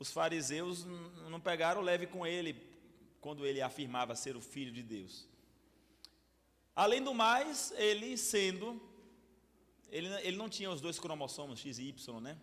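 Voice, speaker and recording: Against audible room echo, a high-pitched man speaks at a fairly slow pace with long, frequent pauses, very wide pitch swings and big swings in loudness. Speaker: pastor. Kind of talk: bible study lecture. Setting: church with audience. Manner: animated, hesitant repetitions.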